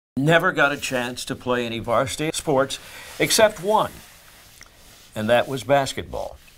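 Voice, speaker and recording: Lively intonation marks a man's fairly high voice at a moderate pace. He takes long, frequent pauses over noticeable background noise. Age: 70s. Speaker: senior athlete. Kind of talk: documentary interview; casual chat.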